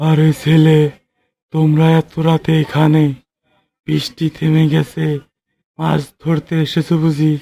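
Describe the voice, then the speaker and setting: Using a cartoonish character voice, a man speaks at a very slow pace with a fairly high pitch. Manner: gentle, storytelling.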